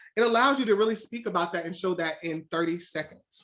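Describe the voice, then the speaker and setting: A woman at a medium pitch with ordinary pitch variation and a very fast pace. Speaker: recruiter / presenter. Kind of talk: webinar presentation.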